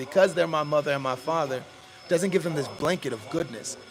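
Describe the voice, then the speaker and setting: A man at a very fast pace, fairly high in pitch with ordinary pitch variation, over noticeable background noise. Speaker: podcast host. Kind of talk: casual chat. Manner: loud; animated.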